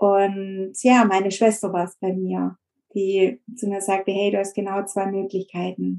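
Monotone, flat intonation marks a woman's medium-pitched speech. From Stuttgart area, Swabia. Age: 40s. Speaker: eating disorder recovery coach. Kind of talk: interview testimony.

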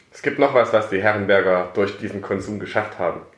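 There is audible room echo in this clip. The voice belongs to a man. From Saxony, Germany (Plauen). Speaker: coffee importer, company co-founder. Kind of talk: casual interview. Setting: office.

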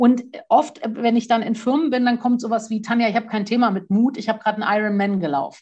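Her voice is somewhat breathy and fairly high. The woman speaks at a very fast pace. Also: ordinary pitch variation. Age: 40s. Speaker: courage trainer and author. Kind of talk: casual interview.

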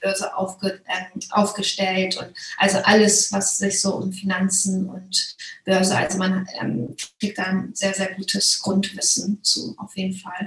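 A woman's monotone, flat delivery at a fairly slow pace. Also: medium pitch for a woman. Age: 30s. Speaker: course participant, buyer. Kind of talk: interview testimonial.

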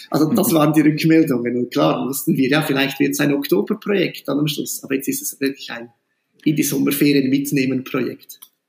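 With an ordinary speaking voice, a man talks at a fairly quick pace in a fairly high pitch, using ordinary pitch variation. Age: 40s. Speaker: school principal. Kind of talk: interview.

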